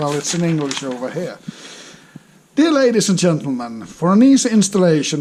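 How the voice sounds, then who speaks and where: A high-pitched male voice with a Finnish accent and lively intonation, over noticeable background noise. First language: non-English. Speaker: motorcycle hobbyist. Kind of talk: casual unboxing talk to camera. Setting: crackling background noise.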